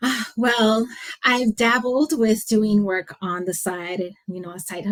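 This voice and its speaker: Speaking at a very slow pace with a Californian accent, a woman uses medium pitch and ordinary pitch variation while her loudness swings widely. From San Francisco Bay Area, California. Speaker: leadership coach and consultant. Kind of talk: interview answer.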